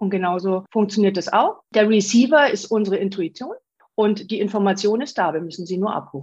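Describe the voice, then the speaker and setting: With a somewhat breathy voice, a woman speaks at a fairly quick pace. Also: medium pitch for a woman, ordinary pitch variation. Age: 40s. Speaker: spiritual medium. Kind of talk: interview.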